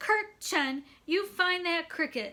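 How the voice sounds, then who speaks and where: In a put-on character voice, a woman sounds squeaky at an extremely high pitch with very wide pitch swings, recorded very cleanly against a silent background. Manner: stern.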